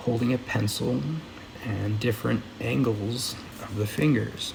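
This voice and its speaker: Soft-spoken and at a fairly slow pace, a man talks amid noticeable background noise and audible room echo. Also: medium pitch for a man, ordinary pitch variation. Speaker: audiobook reader. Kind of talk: reading aloud.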